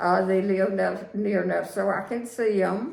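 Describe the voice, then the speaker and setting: Over noticeable background noise and audible room echo, a woman speaks at a fairly slow pace. Her medium pitch follows fairly even intonation. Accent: Virginia. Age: 80s+. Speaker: widow sharing life story. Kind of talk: interview. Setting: home. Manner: halting.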